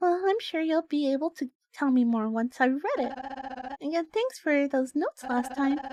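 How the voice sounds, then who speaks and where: At a moderate pace, the speaker delivers a put-on character voice. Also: female-sounding voice, high pitch for a woman. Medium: game stream. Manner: soft, warm, giggly, hesitant.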